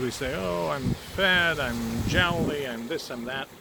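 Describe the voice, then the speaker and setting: A man's voice against noticeable background noise. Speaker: energy healer. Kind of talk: guided energy healing talk to camera. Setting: outdoors. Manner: casual, warm.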